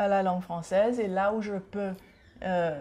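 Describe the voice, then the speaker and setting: A woman speaks at a very slow pace in a medium pitch with ordinary pitch variation. Her tone is dark and mellow, and somewhat breathy. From Seychelles. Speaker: author and culture advocate. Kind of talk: TV interview.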